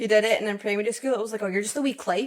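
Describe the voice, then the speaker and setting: A woman in a Scottish accent, talking at a very fast pace. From Scotland. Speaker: podcast host. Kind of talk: casual podcast conversation.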